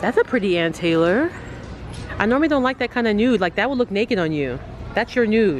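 At a very fast pace, a woman speaks with very wide pitch swings over light background noise. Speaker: thrift shopping vlogger. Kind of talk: casual vlog chat. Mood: playful, joking. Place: shop.

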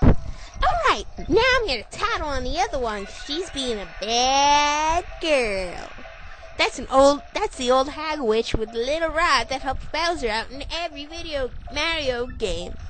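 In a put-on character voice, a female-sounding speaker goes at a fairly slow pace with a high pitch, and clear noise runs in the background. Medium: fan dub. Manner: smug, fawning, then flustered.

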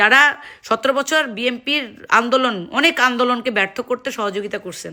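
A woman's high-pitched, bright, sharp voice with an animated tone. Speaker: political commentator. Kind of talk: political rant.

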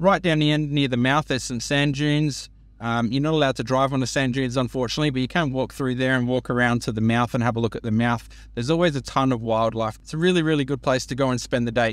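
A man talks at a very fast pace with fairly even intonation, in a dry sound with no echo. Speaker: travel vlogger. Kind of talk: casual vlog chat. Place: car. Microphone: phone near.

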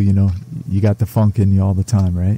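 Somewhat breathy and dark, mellow in tone, a man talks at a fairly quick pace in a fairly low pitch. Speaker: radio host. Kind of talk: casual interview. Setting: studio.

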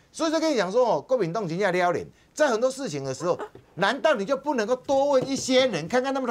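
A man's extremely high voice, animated in tone, with lively intonation and a very fast pace. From Taiwan. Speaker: political commentator. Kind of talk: TV political talk show commentary. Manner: animated, emphatic. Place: studio. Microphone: lapel.

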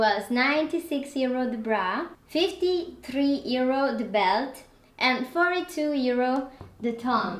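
With audible room echo, a woman with a non-native accent speaks at a very slow pace and high pitch with lively intonation. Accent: non-native English, noticeable. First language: not English. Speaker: fashion and lifestyle vlogger. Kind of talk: casual product review haul video. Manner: animated, enthusiastic, slightly halting. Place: home room. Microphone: camera far.

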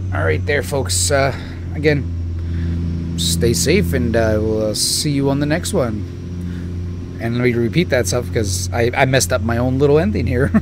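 Over noticeable background noise, a man with a very deep, low pitch and lively intonation speaks at a fairly slow pace with hardly any pauses. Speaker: gaming youtuber. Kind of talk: gameplay commentary. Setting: home recording while gaming. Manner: casual, hesitant with many fillers.

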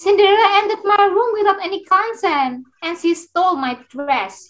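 A woman's whiny put-on character voice at an extremely high pitch, with lively intonation and a moderate pace. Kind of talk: student readers theater. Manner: whiny, accusing, panicky.

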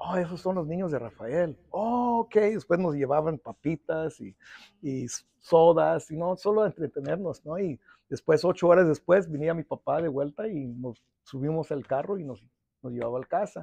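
Over a quiet background with a dry sound and no echo, a man with a fairly high pitch and a dark, mellow tone speaks at a moderate pace, using lively intonation and big swings in loudness. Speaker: union president; interviewee. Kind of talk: interview. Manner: halting, repetitive. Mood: earnest, reflective. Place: office. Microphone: lapel.

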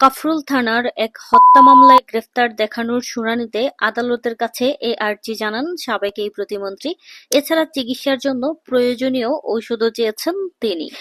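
A woman's high voice with ordinary pitch variation, in a dry, close sound with no echo. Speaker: YouTube news commentator. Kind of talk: news commentary monologue.

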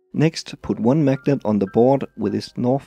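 A man with a Danish accent speaks at a fairly quick pace. The sound is dry and close with no echo, and music plays in the background. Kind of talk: tutorial voice-over.

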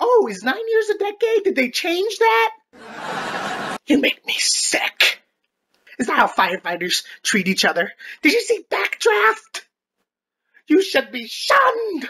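At a fairly slow pace, the voice rises to an extremely high pitch. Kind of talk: comic overacting. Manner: shrieking, melodramatic.

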